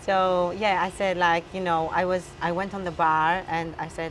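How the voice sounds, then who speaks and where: A woman with an Albanian accent, a moderate pace and a monotone, flat intonation. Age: 30s. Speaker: weightlifter. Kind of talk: interview. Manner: halting.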